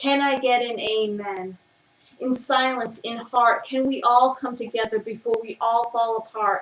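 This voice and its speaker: At a fairly slow pace, a woman with a fairly high pitch uses fairly even intonation in an ordinary speaking voice. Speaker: spoken word poet. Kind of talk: spoken word poetry reading. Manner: rhythmic, reading from page.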